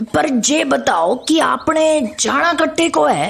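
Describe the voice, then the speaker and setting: A woman speaks in a put-on character voice. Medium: audio drama. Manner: homely, addresses with respectful "sa".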